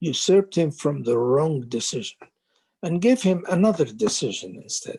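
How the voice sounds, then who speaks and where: A man's dark, mellow voice, fairly high in pitch, with very wide pitch swings. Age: 70s. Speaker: doctor, former medical board chair. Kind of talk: interview answer.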